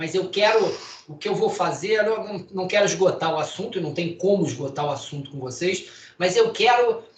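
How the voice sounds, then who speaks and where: There is noticeable background noise and audible room echo. A man speaks at a moderate pace in a high pitch with lively intonation. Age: 60s. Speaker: physician and lecturer. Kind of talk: lecture. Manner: casual.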